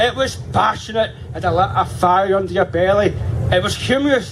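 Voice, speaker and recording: Over noticeable background noise, a man talks in a Scottish accent. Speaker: campaigner speaking at a rally. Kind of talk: political rally speech. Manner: loud, rousing.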